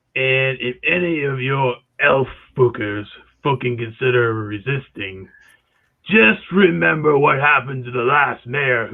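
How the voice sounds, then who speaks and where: In a put-on character voice, a man talks with a gravelly sound at a medium pitch. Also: moderate pace. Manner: threatening, intimidating.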